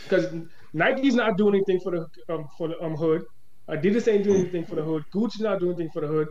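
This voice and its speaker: Audible room echo surrounds a man with an American accent who speaks at a very fast pace in a high pitch. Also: ordinary pitch variation. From Boston. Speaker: nonprofit founder. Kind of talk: casual chat.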